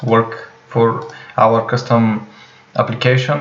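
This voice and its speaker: Over noticeable background noise, a man with a non-native accent speaks at a medium pitch in a monotone, flat intonation. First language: not English. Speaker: programming tutorial creator. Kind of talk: tutorial. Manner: slow; hesitant, many fillers.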